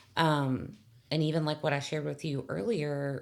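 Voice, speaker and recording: With vocal fry and a very deep, low pitch, a woman speaks at a moderate pace. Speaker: hospice worker. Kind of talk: casual chat. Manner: loud.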